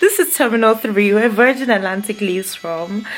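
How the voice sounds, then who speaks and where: A woman talks at a very fast pace with music in the background. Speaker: vlogger. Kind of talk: casual vlog talk.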